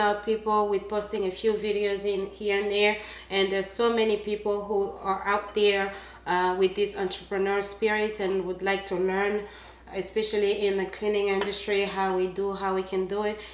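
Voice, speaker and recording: A woman speaks at medium pitch with a Congolese accent. Audible room echo and noticeable background noise surround her voice. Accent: African (Congolese). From Congo, Central Africa. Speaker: cleaning business owner. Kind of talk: casual interview chat. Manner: hesitant, many fillers.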